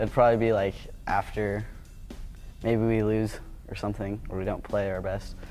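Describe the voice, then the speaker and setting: Dark, mellow tone from a man with a fairly low pitch. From Colorado (Boulder). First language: Vietnamese. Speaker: college tennis player. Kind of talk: casual interview.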